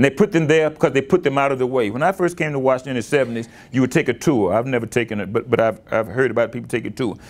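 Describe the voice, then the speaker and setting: Talking at a very fast pace with hardly any pauses, a man with an American accent speaks at a medium pitch. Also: ordinary pitch variation. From US South. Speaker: history professor; guest lecturer. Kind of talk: lecture. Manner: halting, many repeated words. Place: hall. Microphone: lapel.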